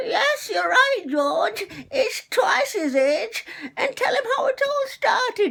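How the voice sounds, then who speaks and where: A man puts on a squeaky character voice at an extremely high pitch, speaking at a fairly slow pace. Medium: solo performance. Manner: fond, gentle.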